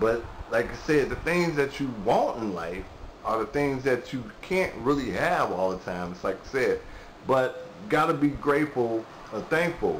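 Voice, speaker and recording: Speech moves at a moderate pace with very wide pitch swings. Noticeable background noise is present. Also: man, fairly high pitch for a man. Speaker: vlogger. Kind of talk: casual monologue. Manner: halting; rambling filler-heavy.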